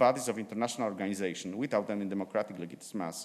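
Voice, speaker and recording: This is a man speaking with a Slavic accent. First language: Polish. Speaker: law professor and judge. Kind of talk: conference presentation. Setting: conference. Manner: halting.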